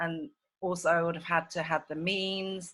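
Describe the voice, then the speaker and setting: This woman talks at a moderate pace with an English accent, her tone bright and sharp and her intonation flat and monotone. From England. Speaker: documentary filmmaker. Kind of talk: casual chat. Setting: video call. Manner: halting.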